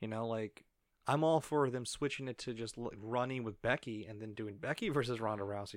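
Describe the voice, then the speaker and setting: Captured in a very clean recording with a silent background, a man with a normal speaking voice talks at a fairly quick pace, using a medium pitch and ordinary pitch variation. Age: 30s. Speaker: wrestling podcast co-host. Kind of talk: casual chat.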